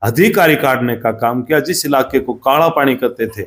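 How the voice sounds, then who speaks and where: In a normal speaking voice, a man talks at a medium pitch. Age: 60s. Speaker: former state legislator. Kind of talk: interview.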